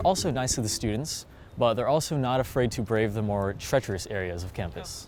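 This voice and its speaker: A man at a fairly low pitch, very fast pace and ordinary pitch variation, with music in the background. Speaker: delivery robot cleaner. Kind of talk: interview answer.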